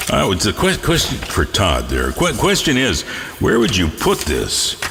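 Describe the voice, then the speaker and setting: There is noticeable background noise behind a man's voice. He talks at a fairly slow pace with very even loudness. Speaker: internet radio host. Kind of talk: radio DJ patter. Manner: casual, jokey.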